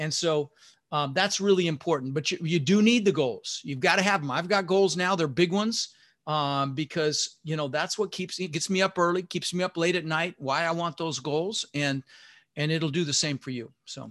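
A man with a General American accent speaks at a high pitch and a moderate pace, with ordinary pitch variation over a quiet background. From US, Denver, Colorado (immigrated from the Netherlands at six). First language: Dutch. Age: 60s. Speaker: real estate investor and podcast host. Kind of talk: interview. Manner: casual, animated.

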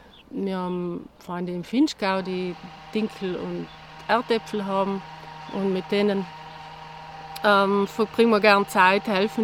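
A woman's medium-pitched voice, fairly slow and fairly even in intonation, against noticeable background noise. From South Tyrol, Italy (Bassa Atesina). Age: 50s. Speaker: herbalist and self-sufficiency gardener. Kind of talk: interview conversation. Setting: outdoors in a garden.

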